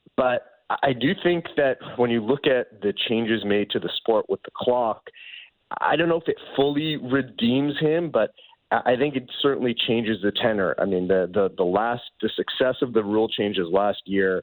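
Speaking at a moderate pace with ordinary pitch variation and a medium pitch, the man has a plain, everyday voice. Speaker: baseball reporter. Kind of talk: interview. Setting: phone call.

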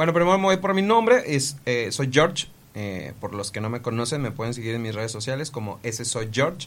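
With lively intonation and a medium pitch, a man talks at a moderate pace. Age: 20s. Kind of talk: casual podcast chat with storytelling. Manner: halting, with frequent repetitions.

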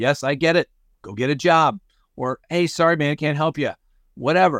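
In a very clean recording with a silent background and a dry, close sound with no echo, a man with an American accent uses an ordinary speaking voice, fairly high in pitch with ordinary pitch variation, at a fairly quick pace. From Colorado. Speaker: crime podcast host. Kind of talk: news commentary. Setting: on a cruise ship trip.

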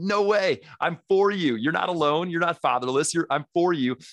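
This very fast, animated delivery swings widely in pitch, with a dry, close sound with no echo and a quiet background. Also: man. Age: 30s. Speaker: dad ministry founder and podcaster. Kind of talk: podcast interview.

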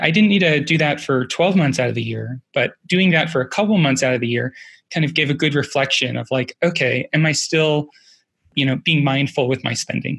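Fairly high in pitch, a man talks at a fairly quick pace in an ordinary speaking voice with ordinary pitch variation. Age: 30s. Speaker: early-retired personal finance blogger. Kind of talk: interview conversation.

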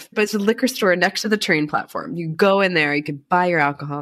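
A very fast pace with ordinary pitch variation. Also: woman. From US, Baltimore. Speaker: addiction recovery advocate and wellness coach. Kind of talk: casual interview.

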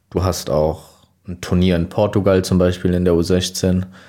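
A man's very deep, low voice with a dark, mellow tone at a fairly slow pace, on a very clean recording with a silent background. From Hesse, Germany (Riedstadt, Groß-Gerau district). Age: 20s. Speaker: former youth footballer. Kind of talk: casual interview.

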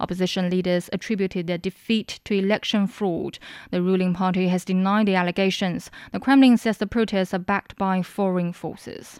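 With a normal speaking voice at a medium pitch, a woman talks at a fairly quick pace in a very clean recording with a silent background and a dry, close sound with no echo. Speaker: news headline reader. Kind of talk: news reading. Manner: formal, brisk, even headline delivery.

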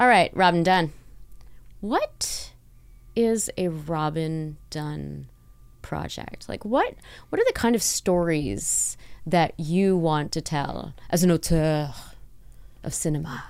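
A woman with a fairly low voice speaks at a very slow pace, with ordinary pitch variation and long, frequent pauses. The recording is very clean, with a silent background. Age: 40s. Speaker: podcast host. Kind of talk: scripted introduction; interview. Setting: office studio with construction noise. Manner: polished podcast voice.

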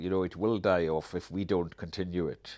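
In a Hebridean accent, a man speaks at a moderate pace with a very deep, low pitch. His intonation is flat and monotone, and the recording is very clean with a silent background. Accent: Hebridean Scottish. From Scotland, Isle of Lewis (Outer Hebrides). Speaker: writer and activist. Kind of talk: interview conversation. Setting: at his home.

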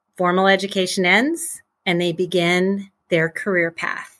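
Very cleanly recorded against a silent background, a woman with an American accent speaks at a fairly slow pace in a bright, sharp tone at medium pitch. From US Midwest. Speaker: college and career planning consultant. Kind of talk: interview conversation.

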